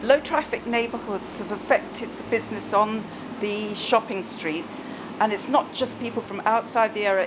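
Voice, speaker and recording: Noticeable background noise sits behind a woman's voice. She speaks at a fairly high pitch with ordinary pitch variation. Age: 70s. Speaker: shop owner. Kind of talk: interview testimony.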